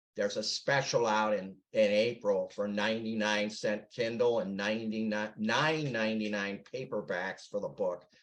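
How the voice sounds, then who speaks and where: Fairly slow in pace, a man talks in a normal speaking voice at a medium pitch with ordinary pitch variation. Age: 60s. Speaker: author. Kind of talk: interview.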